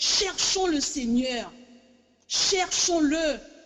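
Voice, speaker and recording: Music plays in the background. A woman speaks over it with lively intonation. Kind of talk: sermon. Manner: halting, repetitive; impassioned.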